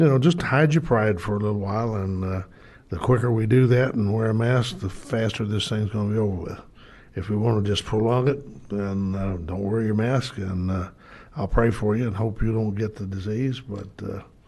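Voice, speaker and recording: A man at a moderate pace, fairly low pitch, ordinary pitch variation, audible room echo. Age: 70s. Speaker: city board director. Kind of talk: council meeting remarks. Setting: city board meeting. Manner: halting.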